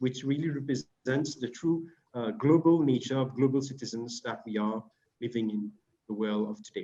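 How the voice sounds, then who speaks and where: A man with a French accent talks at a moderate pace. His pitch is medium, with ordinary pitch variation. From Mauritius. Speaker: panel moderator. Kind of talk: moderating online panel. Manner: hesitant fillers.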